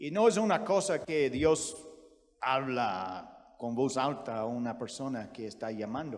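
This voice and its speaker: A man in an American accent talks at a very slow pace with very wide pitch swings. Audible room echo surrounds him. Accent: American accent in Spanish, non-native. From US, Virginia. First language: English (speaking Spanish). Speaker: missionary preacher. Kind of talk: sermon. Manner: halting, frequent self-corrections.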